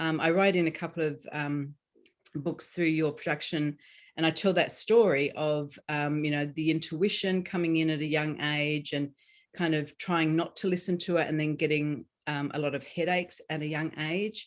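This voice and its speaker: A woman with an Australian accent has a very deep, low pitch. Her intonation is fairly even, and the background is quiet. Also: moderate pace. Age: 50s. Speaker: author and healing coach. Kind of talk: interview. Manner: halting, many fillers.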